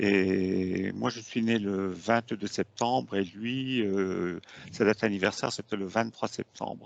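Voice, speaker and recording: A man speaks at a very slow pace, his voice fairly low in pitch with ordinary pitch variation. The sound is dry and close, with no echo. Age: 70s. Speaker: hypnosis client. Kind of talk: testimony. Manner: halting, many fillers.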